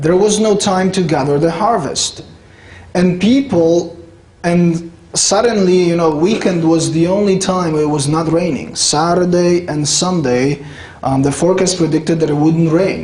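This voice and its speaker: A man with a Polish accent, high-pitched, fairly slow, very even in loudness, with audible room echo and noticeable background noise. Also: ordinary pitch variation. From Poland, rural village. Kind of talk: lecture. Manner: conversational, with fillers.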